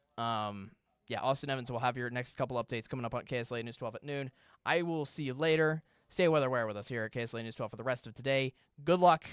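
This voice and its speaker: Recorded very cleanly against a silent background, a man speaks very fast at a medium pitch with ordinary pitch variation, the sound dry and close with no echo. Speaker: TV meteorologist. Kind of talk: live weather stream Q&A. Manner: fast, a bit halting.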